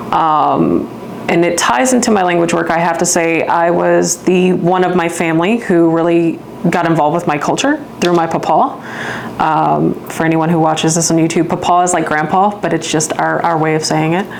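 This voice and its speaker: A woman speaks at a moderate pace with fairly even intonation and very even loudness, over noticeable background noise and audible room echo. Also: fairly low pitch for a woman. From Louisiana, St. Bernard Parish. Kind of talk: interview.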